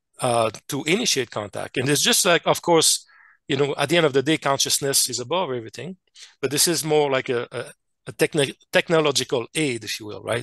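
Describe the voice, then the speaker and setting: Here a man with a French Canadian accent speaks fairly quickly with lively intonation. The sound is dry and close with no echo, and the background is quiet. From Quebec / French Canada. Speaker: scientist and contact experiencer. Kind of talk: interview presentation. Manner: halting, many fillers and restarts.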